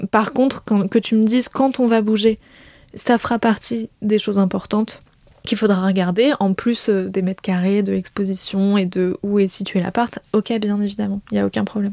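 A woman's voice has a dark, mellow tone at a medium pitch, with fairly even intonation. She speaks at a moderate pace, and the sound is dry and close with no echo. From rural France, grew up on a farm. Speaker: host's girlfriend. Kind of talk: casual chat. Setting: at home.

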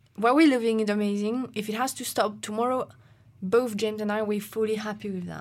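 The speech comes at a fairly quick pace in a French accent. The recording is very clean, with a silent background. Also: woman. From France. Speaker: professional climber. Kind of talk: casual interview chat.

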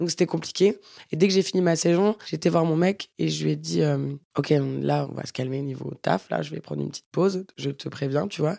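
Over a very clean recording with a silent background, a woman speaks at a fairly quick pace, her loudness swinging widely. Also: dry, close sound with no echo. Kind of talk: casual chat.

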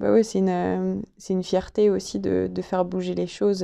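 A woman talks at a fairly slow pace. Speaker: podcast host. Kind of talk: interview.

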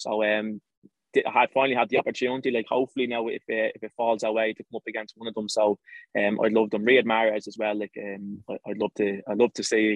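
A man with an Irish accent talks fairly quickly at a medium pitch in a monotone, flat intonation. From Ireland. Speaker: professional footballer. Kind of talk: interview.

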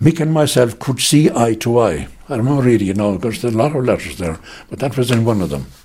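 Speaking very fast with a Munster accent, a man at medium pitch has a dark, mellow tone, lively intonation and vocal fry. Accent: Irish, Munster. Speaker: relative recalling family history. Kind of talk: oral history interview. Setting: interviewee's home.

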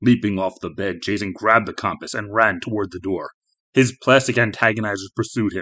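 Nothing intrudes in the background. Someone reads aloud in a natural voice.

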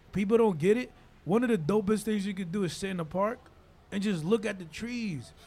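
This man's voice sits high, with ordinary pitch variation. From Dominican Republic. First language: Spanish. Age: 40s. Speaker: radio personality. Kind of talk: casual chat. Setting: studio.

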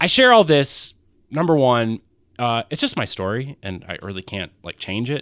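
Using a normal speaking voice, a man at a medium pitch talks at a moderate pace with lively intonation and big swings in loudness, the sound dry and close with no echo. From US South (Athens, Georgia), born in Wisconsin. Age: 30s. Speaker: podcast host and filmmaker. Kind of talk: personal storytelling monologue. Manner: casual, many fillers and laughs.

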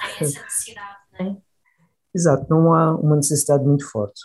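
Somewhat breathy and dark, mellow in tone, a man speaks at a fairly quick pace with a fairly high pitch and fairly even intonation. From Madeira, Portugal. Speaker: engineer and company head. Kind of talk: interview.

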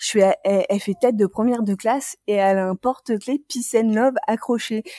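A woman with a fairly high pitch and a dark, mellow tone talks at a moderate pace in a dry, close sound with no echo. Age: 30s. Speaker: graphic designer and school teaching assistant. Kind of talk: casual interview, personal story. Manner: hesitant, many fillers.

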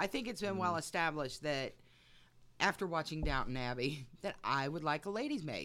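A woman speaks at a moderate pace in a very deep, low pitch with lively intonation. Her tone is bright and sharp yet raspy and husky, on a very clean recording with a silent background. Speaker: podcast host narrating history.

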